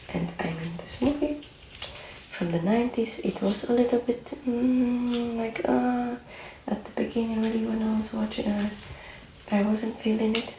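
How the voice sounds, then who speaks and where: Soft-spoken and fairly high-pitched, a woman talks at a moderate pace with ordinary pitch variation. Long, frequent pauses break her speech over noticeable background noise. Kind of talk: soft-spoken ASMR talk to camera; casual movie chat, personal opinions about a film.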